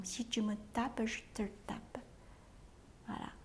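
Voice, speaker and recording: Very slow, fairly high-pitched speech from a woman. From Taiwan. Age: 60s. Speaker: cook. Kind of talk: interview testimony. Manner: halting, with frequent hesitations.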